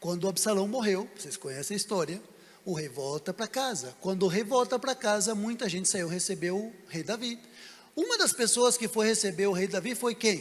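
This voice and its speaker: Against noticeable background noise, a man with a high pitch talks at a moderate pace with ordinary pitch variation. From Brazil. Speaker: pastor. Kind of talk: sermon. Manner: animated.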